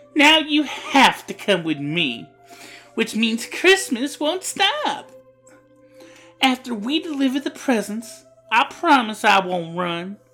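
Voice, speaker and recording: In a put-on character voice, a female-sounding speaker uses a high pitch with very wide swings at a fairly slow pace, with faint music in the background. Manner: cheerful, bold, playful.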